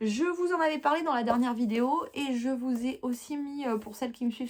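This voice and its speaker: A woman with a high voice talks at a moderate pace, her pitch rising and falling in an ordinary way. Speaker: knitting podcaster. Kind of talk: casual chat. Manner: hesitant fillers.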